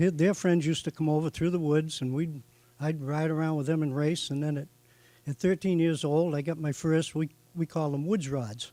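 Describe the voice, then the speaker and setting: The voice has a dark, mellow tone and comes with a Boston accent. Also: man, fairly high pitch for a man, fairly even intonation, moderate pace. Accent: Boston-area New England. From eastern Massachusetts, Norfolk. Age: 70s. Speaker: hall of fame inductee, racing tire supplier. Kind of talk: acceptance speech. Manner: halting, many fillers.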